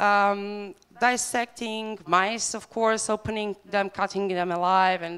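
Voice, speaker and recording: A woman with a Bosnian accent on a very clean recording with a silent background. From Bosnia and Herzegovina. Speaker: animal rights campaigner. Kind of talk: conference talk. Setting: stage with audience. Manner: hesitant, many fillers.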